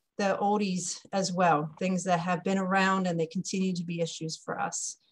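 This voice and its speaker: A woman's somewhat breathy voice. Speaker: webinar host. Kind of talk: webinar introduction. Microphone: video call.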